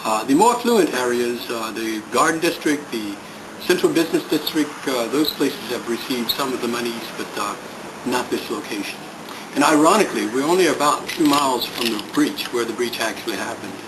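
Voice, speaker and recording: With audible room echo and noticeable background noise, a man talks at a fairly quick pace. His pitch is medium, with ordinary variation. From New Orleans, Louisiana. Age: 60s. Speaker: community resident, Vietnam veteran. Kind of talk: interview. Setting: abandoned house.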